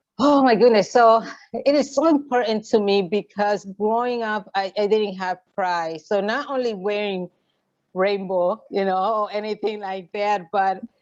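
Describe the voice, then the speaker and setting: Speaking at a fairly slow pace, a woman uses medium pitch and a Puerto Rican accent. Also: ordinary pitch variation. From Puerto Rico. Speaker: LGBTQ activist. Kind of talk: interview. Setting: video call. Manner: halting, many fillers.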